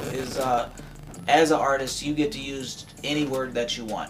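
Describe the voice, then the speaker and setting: Music plays in the background as a man speaks at medium pitch. His intonation is fairly even and his pace moderate. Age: 30s. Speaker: podcast host. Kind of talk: casual chat.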